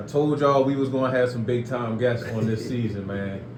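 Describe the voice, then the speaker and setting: The man keeps to a moderate pace while noticeable noise sounds in the background. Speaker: podcast host. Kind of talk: podcast interview, casual talk.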